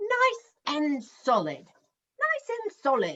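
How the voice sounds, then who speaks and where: This is a put-on character voice with an extremely high pitch. It moves at a very slow pace. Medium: read story. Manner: proper, old-fashioned.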